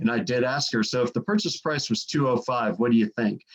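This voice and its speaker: The delivery moves at a fairly quick pace. Its intonation is lively. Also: man. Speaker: real estate appraiser and trainer. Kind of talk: training presentation. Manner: fast; hesitant with fillers.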